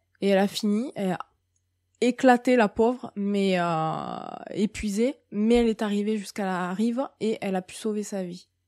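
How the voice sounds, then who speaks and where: Recorded very cleanly with a silent background and a dry, close sound with no echo, a woman speaks at a fairly slow pace with ordinary pitch variation. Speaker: medium and spiritual guide. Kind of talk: monthly spiritual guidance talk. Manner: hesitant, many fillers.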